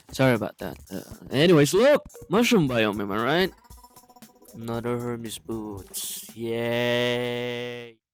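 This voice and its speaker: With music in the background, a man speaks very slowly at medium pitch with ordinary pitch variation. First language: not English. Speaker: gaming YouTuber. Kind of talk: gameplay voiceover narration. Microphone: poor audio quality at times, first voiceover.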